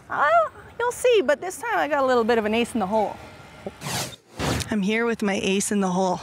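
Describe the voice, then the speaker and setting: A woman talks very fast at a fairly high pitch with lively intonation. Her speech has long, frequent pauses, and background noise is noticeable. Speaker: sports show co-host. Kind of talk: casual chat.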